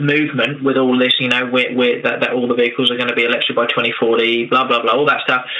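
Speaking at a fairly quick pace in a monotone, flat intonation, a man is heard with noticeable background noise and audible room echo. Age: 30s. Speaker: electric motorcycle business owner. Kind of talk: interview. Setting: internet call. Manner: halting, many fillers.

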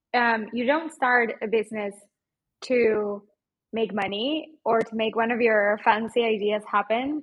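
A woman with a Mexican accent talks at a fairly slow pace with fairly even intonation. Her pitch is fairly high, with a slightly husky edge.

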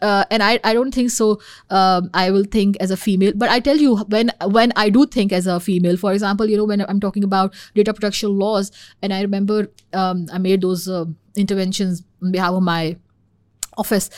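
A woman with a Pakistani accent talks at a fairly quick pace, her intonation fairly even. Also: medium pitch for a woman, very clean recording, silent background. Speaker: policy expert in national security. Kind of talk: casual interview discussion. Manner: fast talker.

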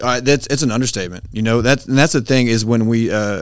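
The speech moves at a very fast pace with ordinary pitch variation, in a very clean recording with a silent background. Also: man. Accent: Texan. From US, Texas (northeast of Dallas). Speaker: business owner, veteran. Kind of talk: casual interview.

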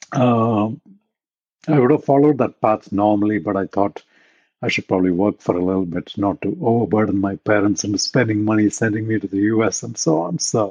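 Speaking at a fairly quick pace, a man with an Indian accent has a fairly low pitch and ordinary pitch variation, in a dry, close sound with no echo. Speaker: technology executive. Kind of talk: interview.

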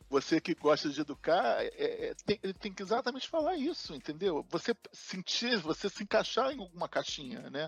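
The pitch swings very widely. The sound is dry and close, with no echo. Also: man, high pitch for a man, moderate pace. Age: 60s. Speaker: project manager. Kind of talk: interview. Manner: halting, many repetitions.

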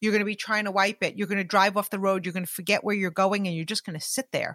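This woman's voice has a bright, sharp tone. The recording is very clean, with a silent background and a dry, close sound with no echo. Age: 40s. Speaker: business leader and podcaster. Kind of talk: casual interview chat. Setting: in person with host.

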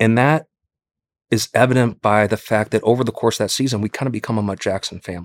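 A man with an unremarkable speaking voice and a fairly low pitch is heard in a dry, close sound with no echo, on a very clean recording with a silent background. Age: 40s. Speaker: entrepreneur, company founder. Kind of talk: personal interview, testimony.

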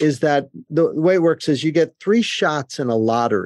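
A man with a New Jersey accent at a moderate pace, in a dry, close sound with no echo. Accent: New Jersey American. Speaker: cybersecurity executive and professor. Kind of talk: interview.

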